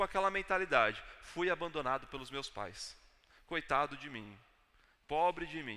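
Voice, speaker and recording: A man with a Brazilian accent speaks at a fairly slow pace. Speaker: pastor. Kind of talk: sermon. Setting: church.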